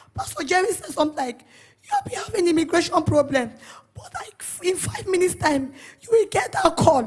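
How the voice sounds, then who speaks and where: The speaker talks at a fairly quick pace with a Nigerian accent. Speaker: church member giving testimony. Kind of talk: testimony. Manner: emotional.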